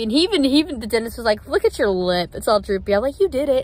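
A woman with a high pitch is heard in a dry recording with no echo. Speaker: vlogger. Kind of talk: casual vlog chat. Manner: slurred speech from numb droopy lip. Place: car. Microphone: phone near.

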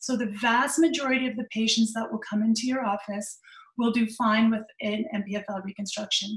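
A woman with a Canadian accent at a fairly high pitch, moderate pace and ordinary pitch variation, in audible room echo against a quiet background. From Canada. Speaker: orthopedic surgeon; presenter. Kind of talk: lecture. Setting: video call. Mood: friendly, lightly humorous. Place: home room. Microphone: webcam.

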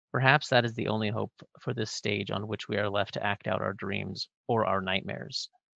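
A man with an American accent and vocal fry, fairly low in pitch, fairly quick, fairly even intonation, quiet background. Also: dry, close sound with no echo. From US Pacific Northwest (northwest Washington). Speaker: podcast host, history professor. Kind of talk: scripted introduction; interview.

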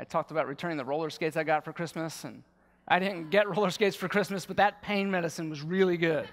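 A man talks very fast in a high pitch, keeping his intonation fairly even. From Baltimore, US. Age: 40s. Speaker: war veteran and yoga teacher. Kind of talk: conference talk. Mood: earnest, personal storytelling. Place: stage. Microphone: headset.

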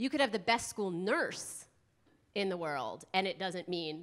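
This woman has a fairly low pitch and speaks with an American accent, using a normal speaking voice. Her pitch varies in an ordinary way against a quiet background. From US East Coast. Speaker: school health consultant, presenter. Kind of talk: conference workshop presentation. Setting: conference room with live audience and microphone. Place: hall. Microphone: handheld.

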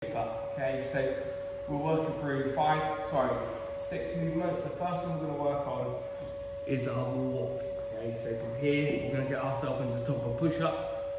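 A man talks at a moderate pace. Loud background noise and audible room echo fill the recording. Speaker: fitness coach. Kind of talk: tutorial. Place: gym. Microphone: camera far.

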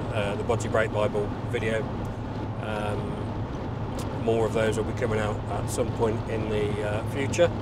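Loud background noise around a male speaker. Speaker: passenger vlogger. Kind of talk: casual vlog chat. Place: car. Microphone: lapel.

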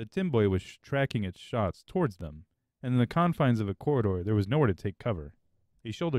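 Lively intonation over a quiet background, in plain reading aloud

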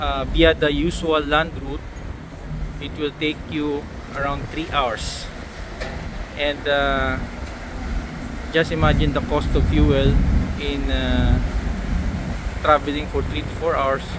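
A man speaks very slowly, with long, frequent pauses. The sound is dry with no echo, but loud background noise is present. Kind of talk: casual travel vlog narration. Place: boat. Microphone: phone near.

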